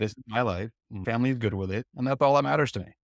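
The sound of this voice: A man talks at a very fast pace. The recording is very clean and dry, close and echo-free, with a silent background. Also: medium pitch for a man, ordinary pitch variation.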